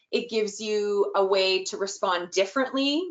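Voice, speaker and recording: This woman has an unremarkable speaking voice, talking at a moderate pace with lively intonation. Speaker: early childhood inclusion trainer. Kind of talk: webinar presentation.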